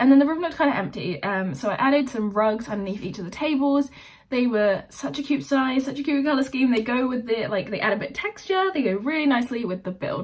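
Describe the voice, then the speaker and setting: A woman puts on a raspy, high-pitched character voice. She rattles along at a very fast pace with hardly any pauses. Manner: fast talking, hyped up, energetic.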